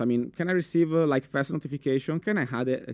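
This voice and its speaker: Very fast speech from a man with an Italian accent. The recording is dry and close, without any echo. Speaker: cybersecurity specialist. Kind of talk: conference talk. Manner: halting, many fillers.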